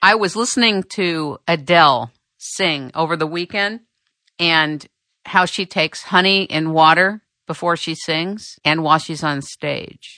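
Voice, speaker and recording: A woman has an unremarkable speaking voice, fairly low in pitch with ordinary pitch variation. She talks at a fairly slow pace against a quiet background. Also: dry, close sound with no echo. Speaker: radio host. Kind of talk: radio interview.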